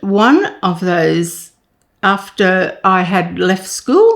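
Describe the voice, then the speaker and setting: Speaking very slowly, a woman with an Australian accent keeps to a medium pitch. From Queensland, Australia. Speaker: retired nurse. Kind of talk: interview answer.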